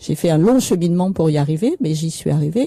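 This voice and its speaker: A woman speaks in a dark, mellow tone that is somewhat breathy. The sound is dry and close, with no echo. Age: 70s. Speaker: author and widow of a political victim. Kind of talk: radio interview.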